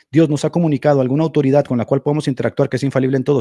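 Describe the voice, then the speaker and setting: The recording is very clean, with a silent background. A man with a dark, mellow tone speaks at a fairly high pitch with ordinary pitch variation. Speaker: Protestant apologist debater. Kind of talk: heated debate. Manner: fast; animated.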